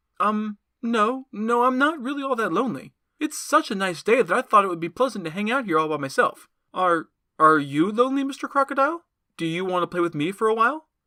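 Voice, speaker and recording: A put-on character voice comes at a fairly high pitch and a fairly quick pace. The recording is very clean, the background silent. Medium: read story. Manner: polite and wheedling, turning cocky.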